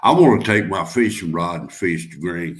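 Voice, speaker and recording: With a Southern US accent, a man talks at a moderate pace in a very deep, low pitch. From North Carolina. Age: 60s. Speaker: guest on a live stream. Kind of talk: casual chat.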